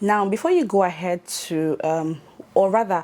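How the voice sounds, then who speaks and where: A woman is speaking. She has a Nigerian accent. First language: not English. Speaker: YouTuber. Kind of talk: tutorial. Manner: casual with fillers.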